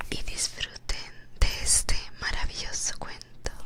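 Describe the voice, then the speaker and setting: A whisper moves at a very slow pace, with noticeable background noise behind it. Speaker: ASMR storyteller. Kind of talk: casual greeting to viewers. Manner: soft-spoken.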